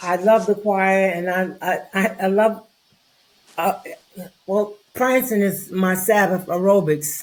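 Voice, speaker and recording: A woman's medium-pitched voice, very slow in pace, with fairly even intonation. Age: 90s. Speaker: veteran church choir member. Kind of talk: interview.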